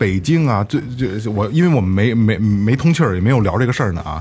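A man's medium-pitched, somewhat breathy voice with a dark, mellow tone and very wide pitch swings. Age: 30s. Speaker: podcast host. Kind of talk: casual chat. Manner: halting, with many repeated words.

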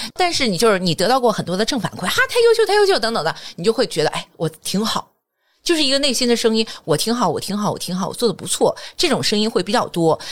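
A woman speaks at a very fast pace in a fairly high voice. Her tone is animated, with very wide pitch swings. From Jinan, Shandong, China. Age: 40s. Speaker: corporate trainer and lecturer. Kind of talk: casual interview chat.

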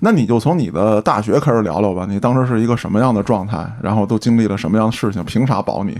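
A man rattles along at a very fast pace with hardly any pauses, his fairly low voice showing ordinary pitch variation. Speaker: podcast host. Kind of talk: casual chat.

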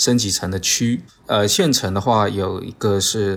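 A very clean recording, silent in the background, of a man speaking at a fairly low pitch. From Zhangzhou, Fujian (southern Min region), China. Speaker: architect. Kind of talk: casual interview chat.

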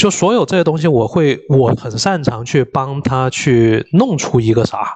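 A somewhat breathy man's voice, fairly high in pitch, fairly slow, with lively intonation. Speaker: gamer and father of a young daughter. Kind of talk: casual chat.

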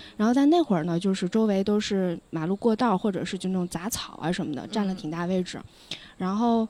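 This woman has an ordinary speaking voice at a medium pitch. She talks at a fairly quick pace with ordinary pitch variation. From Lanzhou, northwest China. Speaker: podcast guest. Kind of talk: casual chat. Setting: outdoors by a river.

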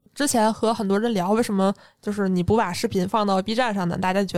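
Using an ordinary speaking voice, a woman talks at a fairly quick pace with fairly even intonation. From Northeast China, Jilin. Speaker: podcast host. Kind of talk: casual chat.

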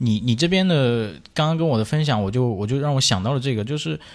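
A man talks at a medium pitch with lively intonation. It is a plain, everyday voice. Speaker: podcast co-host. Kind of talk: casual chat, music sharing.

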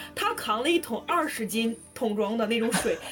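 Music plays behind a woman whose animated tone sits at a fairly high pitch with ordinary pitch variation. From northern China. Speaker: student evacuated from war zone. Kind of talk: personal storytelling in casual interview.

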